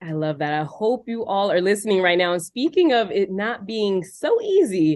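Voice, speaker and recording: A woman with an American accent speaks in a plain, everyday voice at medium pitch, using lively intonation at a moderate pace. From Philadelphia, US. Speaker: podcast host. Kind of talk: interview. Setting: video call.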